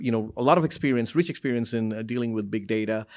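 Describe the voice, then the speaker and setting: A man with a Bengali accent is heard in a very clean recording with a silent background. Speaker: panel moderator. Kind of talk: panel introduction.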